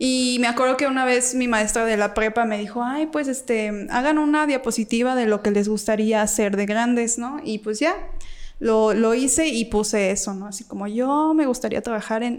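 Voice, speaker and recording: A woman's unremarkable speaking voice, fairly high in pitch, at a fairly quick pace with fairly even intonation. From Mexico, Guanajuato (Salamanca). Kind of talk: casual chat.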